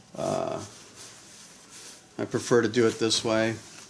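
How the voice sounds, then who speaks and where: A man is talking. His voice sits at a fairly low pitch. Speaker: soap maker. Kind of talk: tutorial. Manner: slow; halting.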